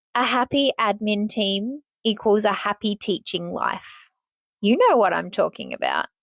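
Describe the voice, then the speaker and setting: A woman speaks in an animated tone at a fairly high pitch, with a dry, close sound and no echo. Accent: Australian. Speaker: podcast host and teacher. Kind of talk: casual podcast monologue.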